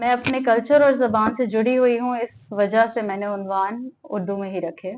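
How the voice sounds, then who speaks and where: A woman talks with a fairly high pitch and fairly even intonation. She barely pauses at all. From Pakistan, Sukkur. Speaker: poet. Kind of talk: speech at literary event; poetry reading at literary event.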